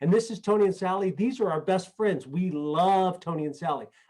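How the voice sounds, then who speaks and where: A man talks at a fairly quick pace. His pitch sits high. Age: 60s. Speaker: network marketing leader. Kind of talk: motivational talk. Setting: video call.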